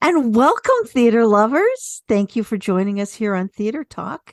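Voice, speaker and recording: A woman with an ordinary speaking voice and a fairly high pitch speaks at a fairly slow pace with lively intonation. The sound is dry and close, with no echo. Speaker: radio show co-host. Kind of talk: radio talk show host.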